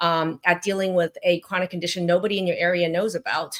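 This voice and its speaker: A woman's unremarkable speaking voice on a very clean recording with a silent background. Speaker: physician. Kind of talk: interview.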